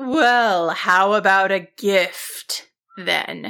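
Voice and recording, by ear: A woman uses a put-on character voice with a bright, sharp tone. She goes at a very slow pace in a medium pitch, with ordinary pitch variation.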